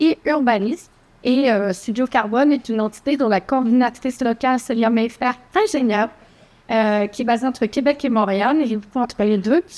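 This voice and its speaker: This woman's high voice moves at a moderate pace, with ordinary pitch variation and very even loudness. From Quebec City, Quebec. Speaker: architect and urban planner. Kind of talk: conference presentation. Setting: conference hall with audience.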